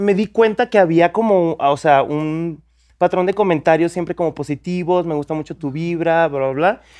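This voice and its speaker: Recorded dry and close with no echo against a quiet background, a man talks at a moderate pace. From Mexico, Guadalajara. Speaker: content creator and photographer. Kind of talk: casual chat.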